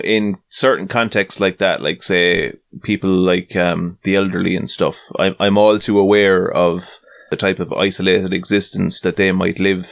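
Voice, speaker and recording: This man has a Tipperary accent and a fairly low pitch. He talks at a moderate pace with fairly even intonation. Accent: Tipperary Irish. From Ireland, County Tipperary. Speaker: podcast host. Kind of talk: casual chat.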